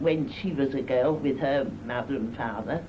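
The woman talks at a fairly slow pace. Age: 80s+. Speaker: retired seamstress. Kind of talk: oral history interview answer. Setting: 1978 film recording.

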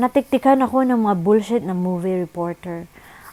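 Text is being read out in a natural voice.

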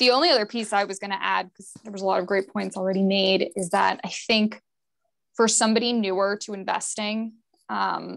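The background is quiet. A woman talks over it. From Connecticut. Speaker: private banker. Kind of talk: panel discussion. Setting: video call. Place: office. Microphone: earbuds.

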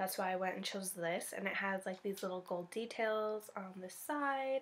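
Her pitch varies in an ordinary way as this woman talks at a moderate speed. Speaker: beauty vlogger. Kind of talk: casual vlog chat. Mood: cheerful, relaxed. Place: home room. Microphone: phone near.

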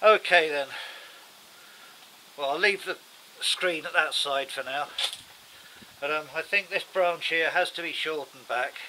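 There is light background noise as a man talks at a moderate pace with ordinary pitch variation. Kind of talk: tutorial. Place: garden. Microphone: camera far.

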